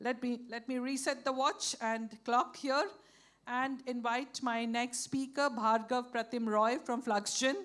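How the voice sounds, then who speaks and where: This woman's voice is loud and high-pitched. She talks at a fairly slow pace with fairly even intonation. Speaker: session moderator. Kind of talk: moderating a panel session.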